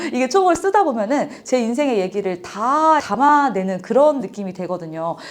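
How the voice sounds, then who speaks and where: Moderate pace, very wide pitch swings and hardly any pauses over noticeable background noise. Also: woman, high pitch for a woman. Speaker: author and business owner. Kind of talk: interview testimony.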